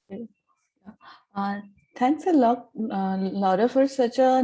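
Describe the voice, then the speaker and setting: In a very clean recording with a silent background, a woman speaks at a fairly slow pace. Her fairly high pitch has a dark, mellow tone and ordinary pitch variation. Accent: Indian. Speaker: audience member. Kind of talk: asking a question.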